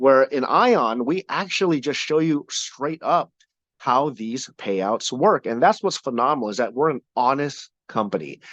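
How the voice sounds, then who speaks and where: In a quiet background, a man speaks at a medium pitch with lively intonation, his sound dry and close with no echo. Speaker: company trainer presenting compensation plan. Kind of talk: training talk. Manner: animated.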